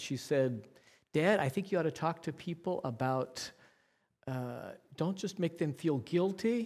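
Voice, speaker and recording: Ordinary pitch variation and a moderate pace in an unremarkable speaking voice, captured on a very clean recording against a silent background. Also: man. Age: 60s. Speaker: preacher. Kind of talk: sermon. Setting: church.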